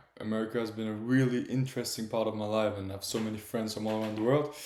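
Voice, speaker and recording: Audible room echo around a man speaking at a fairly low pitch. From Italy (Florence), born in Germany. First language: Italian or German. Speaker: streamer, former soccer goalkeeper. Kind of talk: casual livestream monologue. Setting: livestream, talking to camera. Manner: halting, searching for words.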